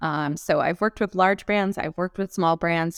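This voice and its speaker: Recorded very cleanly against a silent background, a woman with a Californian accent speaks at a fairly quick pace with fairly even intonation, in a dry, close sound with no echo. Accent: General American (Californian). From Los Angeles, US. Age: 40s. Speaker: public relations expert. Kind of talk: interview.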